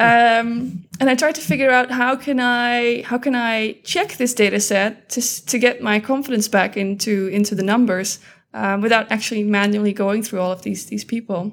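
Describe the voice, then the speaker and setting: A woman with a Dutch accent speaks at a moderate pace, barely pausing. Her pitch is fairly high, with ordinary variation. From Netherlands. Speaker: data scientist. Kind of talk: interview.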